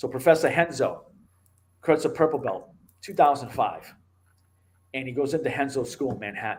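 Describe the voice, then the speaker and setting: In a Boston accent, a man with a fairly high pitch and a somewhat breathy voice talks at a fairly quick pace, taking long, frequent pauses and making big swings in loudness. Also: ordinary pitch variation. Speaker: MMA show host and martial arts instructor. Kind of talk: casual interview chat. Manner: animated.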